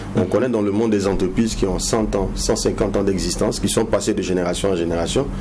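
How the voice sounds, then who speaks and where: Very fast speech with fairly even intonation, audible room echo and noticeable background noise. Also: man. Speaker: business consultant. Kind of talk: TV interview.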